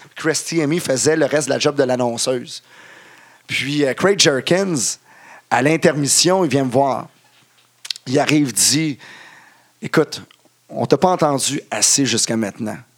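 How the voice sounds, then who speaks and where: A man with a Quebec accent, ordinary pitch variation, and long, frequent pauses. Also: fairly high pitch for a man, fairly slow pace. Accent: Québécois French. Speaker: wrestling ring announcer. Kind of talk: casual chat. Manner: halting.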